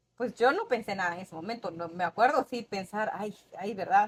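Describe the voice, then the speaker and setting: Against noticeable background noise, a woman talks at medium pitch with ordinary pitch variation. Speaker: podcast guest. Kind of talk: casual interview storytelling.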